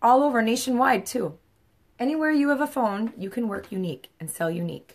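A woman talks at a fairly quick pace in a fairly high pitch. Her intonation is lively. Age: 50s. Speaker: makeup seller. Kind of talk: makeup tutorial livestream. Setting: live video at home. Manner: casual. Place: home room. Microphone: phone near.

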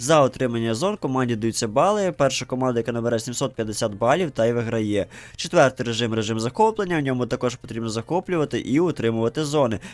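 Very fast in pace, a man speaks at a medium pitch with ordinary pitch variation. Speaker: gaming youtuber. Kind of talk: game review narration.

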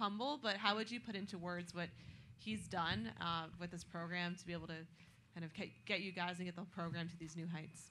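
With a bright, sharp tone, a woman speaks at a fairly quick pace, her fairly low pitch held in fairly even intonation.

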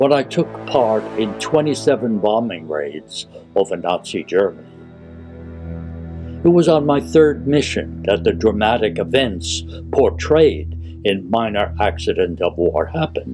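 Very wide pitch swings at a fairly slow pace, with clear music in the background. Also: man, fairly low pitch for a man. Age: 80s+. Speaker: WWII veteran and poet. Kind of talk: film introduction. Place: home room. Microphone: webcam.

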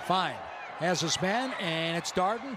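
Over noticeable background noise, a man speaks with lively intonation at a high pitch. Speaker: play-by-play announcer. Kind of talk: live sports commentary.

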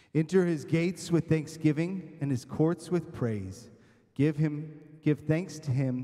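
A man speaks at a fairly slow pace with ordinary pitch variation. His tone is dark, mellow and somewhat breathy, over a quiet background. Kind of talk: call to worship, reading. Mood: warm, welcoming. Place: church.

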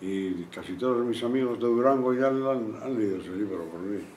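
A man speaks at a fairly slow pace with ordinary pitch variation. Light background noise and audible room echo are present. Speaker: witness. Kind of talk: interview answer. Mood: reflective, slightly wry. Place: classroom.

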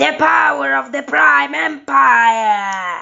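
Shouting very slowly at a medium pitch, a woman's voice swings very widely in pitch. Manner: gloating, menacing.

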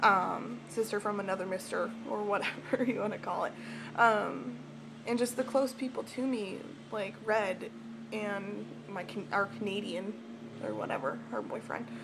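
Over noticeable background noise, a woman with a medium pitch talks at a moderate pace, with very wide pitch swings and long, frequent pauses. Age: 20s. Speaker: vlogger. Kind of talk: personal vlog. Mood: emotional, personal confession. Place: home room. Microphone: webcam.

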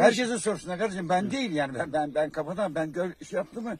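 A man talks at a fairly quick pace with very wide pitch swings, his dry sound carrying no echo over light background noise. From Pamukova, Sakarya, Turkey. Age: 70s. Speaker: farmer. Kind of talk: street interview answer. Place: farm machine.

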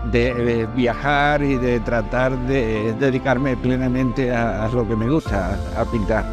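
Clear music plays behind a man who speaks at a very slow pace. His voice sounds dry, with no echo. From Andalusia, Spain. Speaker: painter. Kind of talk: interview answer. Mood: warm, grateful. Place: street. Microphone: lapel.

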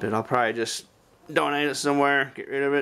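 The speaker is a man. His pitch varies in an ordinary way. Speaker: resale vlogger. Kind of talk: casual vlog chat. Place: home room. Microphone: phone near.

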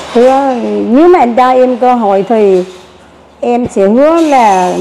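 Light background noise accompanies a woman as she speaks. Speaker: dating show guest seeking a partner. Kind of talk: casual chat on matchmaking show. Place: cafe. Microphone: lapel.

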